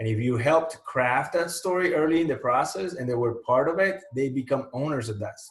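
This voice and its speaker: A man with a Puerto Rican accent, fairly high in pitch, at a fairly quick pace with lively intonation. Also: hardly any pauses. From Puerto Rico. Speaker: architect. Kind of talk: interview. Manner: hesitant, with many fillers.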